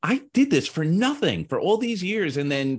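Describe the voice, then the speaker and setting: Against a quiet background, a man talks at a fairly slow pace with very wide pitch swings. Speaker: podcast co-host and coach. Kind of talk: casual chat. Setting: live stream. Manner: elaborate, wordy phrasing.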